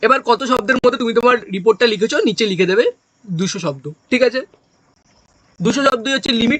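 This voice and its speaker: A man's extremely high-pitched voice in a dry, close sound with no echo. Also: lively intonation. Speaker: exam coaching teacher. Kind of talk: lecture.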